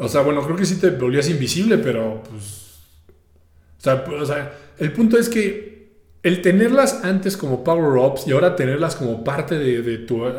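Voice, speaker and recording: A man speaks fairly slowly with a Mexican accent, his pitch swinging very widely. Audible room echo surrounds the voice. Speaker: podcast host. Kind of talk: solo podcast monologue. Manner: casual, repetitive hesitations.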